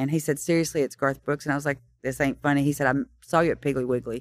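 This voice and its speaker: A woman with a Tennessee accent, very deep and low in pitch with ordinary pitch variation, at a very fast pace on a very clean recording with a silent background. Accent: Southern US (Tennessee). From Tennessee (Kingston Springs, near Nashville). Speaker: songwriter. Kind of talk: interview, storytelling. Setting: stage of a Nashville listening room.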